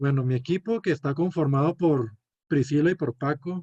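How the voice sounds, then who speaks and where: A somewhat breathy man with a fairly high pitch and a dark, mellow tone, ordinary pitch variation, and a dry, close sound with no echo. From northern Mexico, Chihuahua (Cuauhtémoc). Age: 20s. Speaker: medical student. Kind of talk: student class presentation; self-introduction. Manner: hesitant, many fillers.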